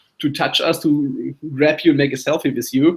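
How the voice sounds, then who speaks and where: Fairly quick speech comes from a man with a German accent. His pitch is fairly high. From Germany. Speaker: memory athlete and show co-host. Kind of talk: casual interview chat.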